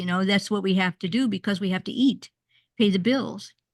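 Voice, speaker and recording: Over a quiet background, a somewhat breathy woman speaks at a fairly quick pace with ordinary pitch variation. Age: 80s+. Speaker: workshop leader. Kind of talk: online group workshop. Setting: video call. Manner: halting, with many repeated words.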